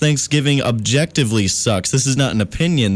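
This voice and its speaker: Here is an unremarkable speaking voice. Its intonation stays lively. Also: man. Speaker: college radio DJ. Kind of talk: late-night radio show host talk. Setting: radio studio. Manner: mock-formal, upbeat, comedic.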